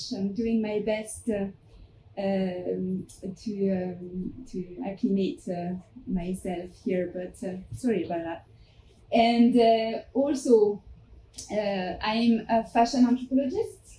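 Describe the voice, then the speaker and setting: A very slow woman's voice at a medium pitch, dark and mellow in tone, somewhat breathy, with ordinary pitch variation. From France. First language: French. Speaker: fashion anthropologist and museum curator. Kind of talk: academic presentation. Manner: halting, many fillers.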